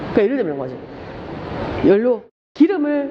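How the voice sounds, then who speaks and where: The woman's tone is animated. Her pitch sits high. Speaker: lecturer. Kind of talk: lecture. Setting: classroom with live students. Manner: fast. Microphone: muffled by face mask.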